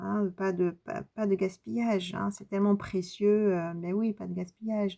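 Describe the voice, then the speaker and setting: With fairly even intonation, a woman talks at a medium pitch. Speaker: tarot card reader and medium. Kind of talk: spiritual card reading. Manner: halting.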